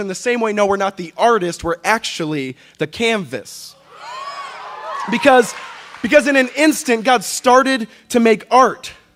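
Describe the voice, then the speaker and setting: A man's extremely high-pitched voice with lively intonation at a moderate pace, over noticeable background noise. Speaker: spoken word poet. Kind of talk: live spoken word poetry performance.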